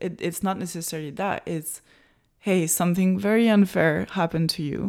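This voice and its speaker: With a French accent, a woman speaks at a moderate pace in a fairly low pitch. Her pitch variation is ordinary, and the recording is very clean with a silent background. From France. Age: 20s. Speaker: professional water skier. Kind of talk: interview.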